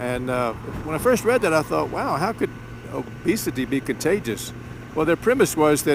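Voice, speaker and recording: A man talks in a relaxed tone at a fairly high pitch. Noticeable background noise sits behind him. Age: 70s. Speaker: motorcycle vlogger. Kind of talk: casual monologue. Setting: riding a motorcycle, helmet mic. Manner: relaxed, hesitant with fillers.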